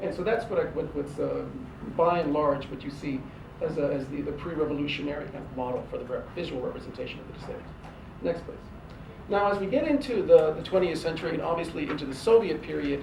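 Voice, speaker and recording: At a very fast pace and fairly high pitch, a man talks with ordinary pitch variation and big swings in loudness, against audible room echo and noticeable background noise. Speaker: professor. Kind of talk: lecture. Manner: hesitant, many fillers and repetitions.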